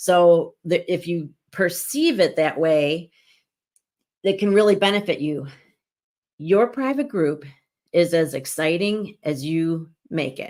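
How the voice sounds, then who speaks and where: Using lively intonation, a woman with a fairly low pitch talks at a very slow pace with long, frequent pauses. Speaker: business coach, online community founder. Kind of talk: live stream tutorial. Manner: casual, conversational.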